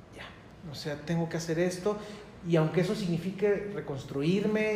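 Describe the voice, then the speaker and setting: There is audible room echo and noticeable background noise as a high-pitched man speaks at a moderate pace. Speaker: licensed professional guest. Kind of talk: casual chat.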